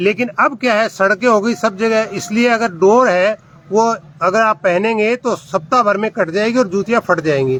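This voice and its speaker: A man with a Rajasthani accent speaks at a high pitch, his loudness very even. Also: ordinary pitch variation, moderate pace. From Rajasthan, India (Nohar area). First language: Rajasthani (speaking Hindi). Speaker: video blogger. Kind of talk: casual explainer vlog in a shop. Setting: in a shoe shop.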